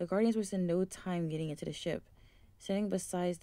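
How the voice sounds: Natural reading voice.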